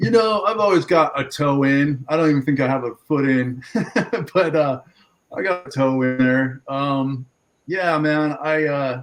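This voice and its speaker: Fairly slow speech from a man with a fairly high pitch, ordinary pitch variation and an ordinary speaking voice. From Southern California, San Diego. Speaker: farmer. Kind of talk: casual chat.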